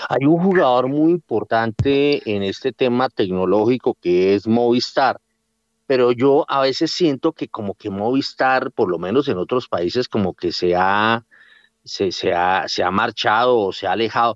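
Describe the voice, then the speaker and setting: A man talks at a fairly slow pace in an unremarkable speaking voice. The sound is dry and close with no echo, over a quiet background. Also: medium pitch for a man, lively intonation. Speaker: radio host and director. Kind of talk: radio interview.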